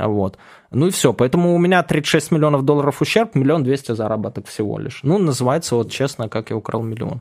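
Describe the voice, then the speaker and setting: A man with a normal speaking voice, fairly high pitch, lively intonation and a fairly quick pace. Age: 30s. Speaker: ex-cybercriminal turned blogger and author. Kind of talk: casual interview.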